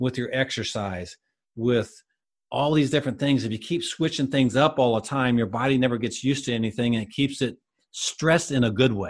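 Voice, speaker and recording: At a moderate pace, an ordinary speaking voice shows ordinary pitch variation, with a quiet background behind it. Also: man. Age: 50s. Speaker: health coach. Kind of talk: interview.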